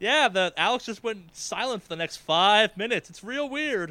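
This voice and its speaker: A man projects his raised voice at a high pitch with a bright, sharp tone. His pace is moderate and his pitch varies in an ordinary way. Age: 20s. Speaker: podcast host. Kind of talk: casual chat. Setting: online call.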